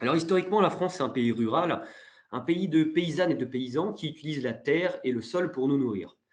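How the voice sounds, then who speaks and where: Lively intonation at a fairly quick pace. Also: man, fairly high pitch for a man. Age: 30s. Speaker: webinar moderator and freelance wine journalist. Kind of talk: webinar presentation. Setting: online webinar. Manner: hesitant, many fillers.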